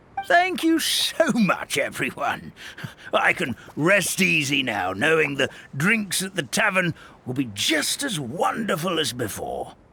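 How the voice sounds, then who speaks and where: Using a put-on character voice, the man speaks at a high pitch. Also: fairly slow pace. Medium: video game.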